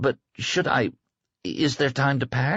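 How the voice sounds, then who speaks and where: Here a man puts on a character voice at medium pitch. He goes at a fairly slow pace. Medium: read story.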